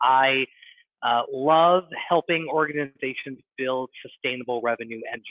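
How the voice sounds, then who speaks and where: Here is a man with an unremarkable speaking voice and a medium pitch. He talks at a moderate pace with fairly even intonation. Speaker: nonprofit fundraising consultant. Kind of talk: webinar presentation. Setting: online webinar.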